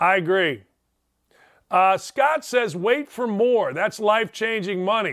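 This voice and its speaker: Animated in tone, a man speaks at a high pitch and moderate pace with ordinary pitch variation on a very clean recording with a silent background. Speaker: sports radio host. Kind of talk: casual chat. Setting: studio.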